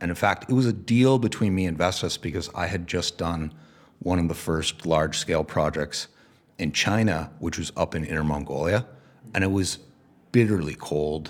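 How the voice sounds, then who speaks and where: A man with a very deep, low pitch, ordinary pitch variation and a moderate pace. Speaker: venture capitalist. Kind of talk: interview.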